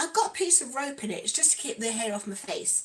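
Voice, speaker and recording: Noticeable background noise sits behind a woman speaking with an East Midlands accent. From East Midlands, England. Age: 40s. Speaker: lifestyle vlogger. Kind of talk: casual livestream chat while doing makeup.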